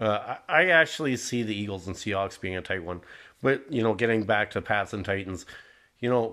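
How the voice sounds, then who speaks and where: The recording is very clean, with a silent background. The speaker keeps a moderate pace and ordinary pitch variation. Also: man. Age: 40s. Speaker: podcast host and football fan, works as a plumber. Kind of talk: casual monologue. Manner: halting, many fillers and restarts.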